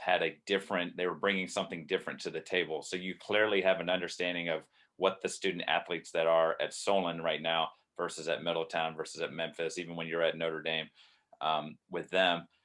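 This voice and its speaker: A man speaks at a fairly quick pace in a very deep, low voice, his intonation monotone and flat. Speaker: podcast host, coach. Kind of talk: podcast interview questions.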